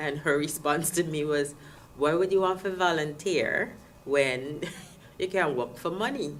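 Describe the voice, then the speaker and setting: This woman's pitch is very deep and low. Her intonation is lively. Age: 50s. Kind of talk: interview answer. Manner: hesitant, many fillers.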